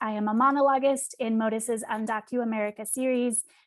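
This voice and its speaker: A woman speaks in an ordinary speaking voice, fairly high in pitch and with fairly even intonation. The background is quiet. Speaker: theater outreach director. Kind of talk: event introduction.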